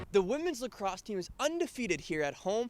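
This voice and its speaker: A man with an American accent talks at a fairly quick pace, his high voice making very wide pitch swings. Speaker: sports reporter and anchor. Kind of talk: sports reporting standup.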